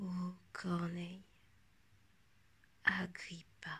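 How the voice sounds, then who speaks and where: A woman speaks at a very slow pace. Her fairly low voice is somewhat breathy. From France. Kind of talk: poetry reading.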